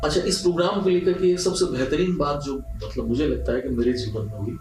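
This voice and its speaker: Over music in the background and audible room echo, a man speaks with a fairly high pitch and lively intonation. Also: moderate pace. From Rajasthan, India. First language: Punjabi (speaking Hindi). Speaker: radio broadcaster. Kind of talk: interview.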